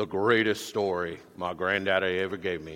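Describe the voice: The speaker puts on a character voice in a Texan accent. The intonation is monotone and flat, at a moderate pace. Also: man. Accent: Texan drawl.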